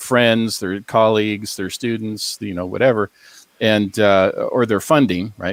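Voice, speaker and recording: With an American accent, a man speaks in an ordinary speaking voice at a fairly low pitch, the sound dry and close with no echo. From US Pacific Northwest, Seattle. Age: 60s. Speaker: academic and paranormal author. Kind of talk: interview on a paranormal talk show.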